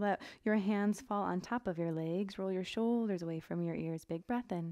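Calm in tone, the speech keeps a moderate pace with ordinary pitch variation against a quiet background. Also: woman. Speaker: yoga instructor. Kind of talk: guided yoga class, cueing poses and breath. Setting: home studio, online video class. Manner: relaxed, upbeat and chatty; calm, rhythmic cueing with short breath-paced commands. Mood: calm, gentle, encouraging. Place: home room.

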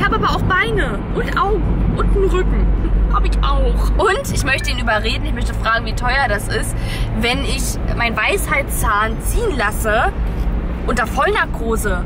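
A woman at a moderate pace against loud background noise. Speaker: family vlogger. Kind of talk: casual vlog chat. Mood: reluctant, playful about dentist. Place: car. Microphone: phone near.

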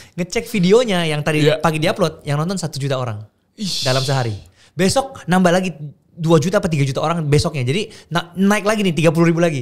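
Against a quiet background, a man speaks very fast in a high-pitched voice with lively intonation. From Makassar, Indonesia; Indonesia. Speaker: content creator; podcast guest. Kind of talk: casual chat. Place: studio. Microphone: studio mic.

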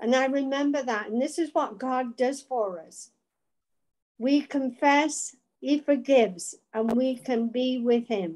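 A woman speaks at a fairly slow pace with a high pitch. The background is quiet. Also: ordinary pitch variation. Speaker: Bible study participant. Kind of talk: group discussion. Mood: reflective, earnest. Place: home room. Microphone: video call.

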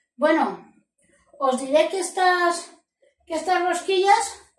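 Amid audible room echo, a woman speaks at a very slow pace with lively intonation. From Spain. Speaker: cooking channel host. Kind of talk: cooking tutorial. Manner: animated. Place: kitchen. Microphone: camera far.

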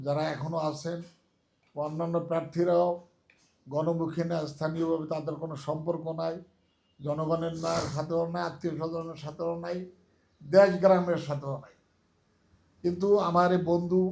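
Audible room echo surrounds a man speaking at a high pitch. His intonation is monotone and flat, with big swings in loudness. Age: 70s. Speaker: lawyer and election advisor. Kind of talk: campaign speech.

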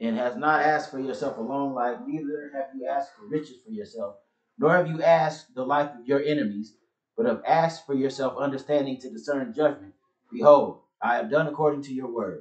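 A man in an ordinary speaking voice talks at a fairly quick pace and fairly high pitch, with ordinary pitch variation and big swings in loudness. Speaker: congregation member. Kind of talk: reading aloud.

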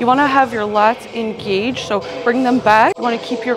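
Noticeable background noise accompanies a woman with a high-pitched voice. She speaks at a moderate pace with fairly even intonation. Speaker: fitness vlogger. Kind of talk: casual vlog chat and exercise tutorial. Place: gym. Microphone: lapel.

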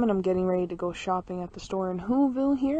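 Rattling along at a very fast pace with ordinary pitch variation, a woman speaks in a dry, echo-free recording over light background noise. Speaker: vlogger. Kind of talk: casual vlog chat. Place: open country. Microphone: phone near.

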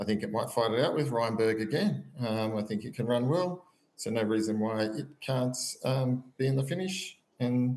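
A man speaks with an Australian accent at a medium pitch. His pace is moderate and his pitch varies in an ordinary way. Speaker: horse racing tipster. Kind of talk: casual chat.

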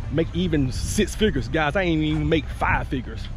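The pace is fairly quick, and the sound is dry with no echo. Faint music plays in the background. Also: man. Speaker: business owner vlogger. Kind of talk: casual vlog chat. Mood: relaxed, reflective. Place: garden. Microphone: phone near.

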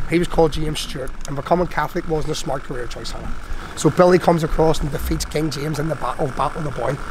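A man with a Belfast accent and a fairly high pitch talks very fast with fairly even intonation over noticeable background noise. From Northern Ireland. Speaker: tour guide. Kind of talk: guided tour talk. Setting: in a taxi. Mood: grave storytelling. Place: street.

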